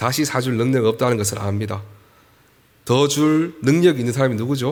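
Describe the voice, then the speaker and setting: In a room with audible echo, a man speaks at a moderate pace and medium pitch with ordinary pitch variation. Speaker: pastor. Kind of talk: sermon.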